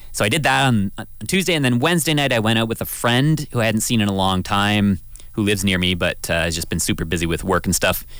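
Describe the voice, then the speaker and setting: Talking at a very fast pace, a man uses lively intonation and a Canadian accent. His pitch is fairly low. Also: very even loudness. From southwestern Ontario, Canada. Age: 30s. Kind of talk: radio talk show, casual chat. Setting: radio studio.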